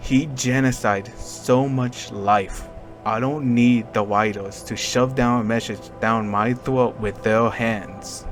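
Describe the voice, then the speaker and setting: Music plays behind a man speaking at a very slow pace. His medium-pitched voice keeps fairly even intonation. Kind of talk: casual video commentary.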